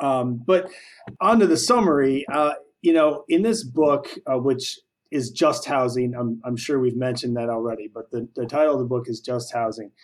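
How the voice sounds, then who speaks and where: A man speaks in a normal speaking voice. His pitch sits in the middle range. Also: ordinary pitch variation, moderate pace. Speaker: co-host. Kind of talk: casual interview chat.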